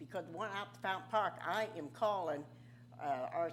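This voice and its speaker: Lively in intonation, a woman talks at a moderate pace. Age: 80s+. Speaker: citizen commenter. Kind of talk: public comment. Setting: city commission meeting. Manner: forceful, animated.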